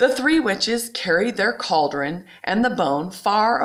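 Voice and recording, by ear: The passage is read aloud naturally, with lively rises and falls in the intonation.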